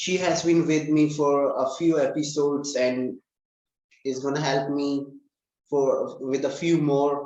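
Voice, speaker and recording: With an Indian accent, a man speaks at a fairly slow pace and fairly high pitch in monotone, flat intonation, with audible room echo. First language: Hindi. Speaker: English learning channel host. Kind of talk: casual interview.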